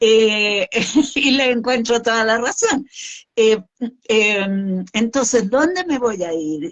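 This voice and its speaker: A woman talks at a high pitch, her intonation showing ordinary pitch variation. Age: 60s. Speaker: suicide prevention expert. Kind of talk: interview conversation. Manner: hesitant fillers.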